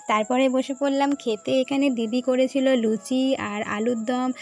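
Noticeable background noise sits behind a woman's high-pitched voice. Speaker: vlogger. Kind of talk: casual vlog narration. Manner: animated.

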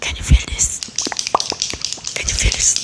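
Her voice is a whisper throughout, a woman whispering. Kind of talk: ASMR roleplay talk. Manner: soft close-mic ASMR doctor voice. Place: home room. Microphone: studio mic.

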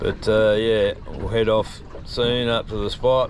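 Light background noise runs under a man's voice, which sounds dry with no echo. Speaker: fishing vlogger. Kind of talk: casual vlog chat. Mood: relaxed, mildly grumbling. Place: boat. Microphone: phone near.

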